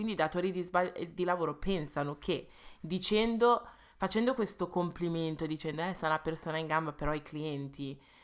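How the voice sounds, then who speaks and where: At a fairly quick pace, a woman speaks at a fairly low pitch with ordinary pitch variation, in a very clean recording with a silent background. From England. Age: 20s. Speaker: podcast co-host. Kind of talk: casual chat. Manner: fast, talkative.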